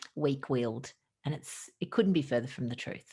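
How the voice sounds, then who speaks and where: A woman speaks with an Australian accent in a very deep, low pitch. Her pitch variation is ordinary. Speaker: doctor. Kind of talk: podcast interview. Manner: animated.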